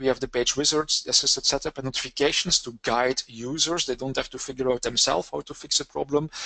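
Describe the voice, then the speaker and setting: Over music in the background, a man speaks at a fairly quick pace, the sound dry and close with no echo. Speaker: software trainer presenting a technical session. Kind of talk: technical webinar presentation. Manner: fast; hesitant, frequent uh fillers.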